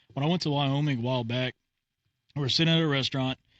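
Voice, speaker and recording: Fairly high in pitch, a man speaks at a very fast pace. He has a Texan accent and fairly even intonation. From Texas. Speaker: podcast host. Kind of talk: casual chat.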